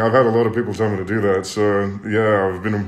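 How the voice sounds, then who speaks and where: A man with an Australian accent speaks at a moderate pace in a fairly low pitch. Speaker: singer, talent show contestant. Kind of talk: casual livestream chat. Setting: social media live stream. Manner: laughs a lot, animated. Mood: cheerful, relaxed. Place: home room. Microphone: phone near.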